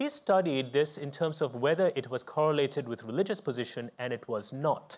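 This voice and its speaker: A man speaks with a fairly high pitch and ordinary pitch variation, at a fairly quick pace. It is a plain, everyday voice. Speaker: psychiatrist and event moderator; event moderator. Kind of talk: live panel moderation. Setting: stage with audience. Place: stage.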